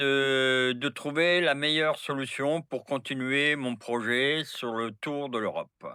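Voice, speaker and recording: Speaking at a very slow pace, a man uses a fairly high-pitched voice. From France. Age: 70s. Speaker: long-distance traveler with horses. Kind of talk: casual interview chat.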